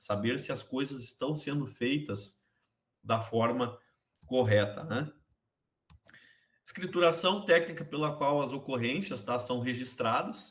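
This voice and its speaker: Somewhat breathy and fairly slow, a man speaks at medium pitch with ordinary pitch variation and long, frequent pauses. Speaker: accounting teacher. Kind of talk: online class lecture.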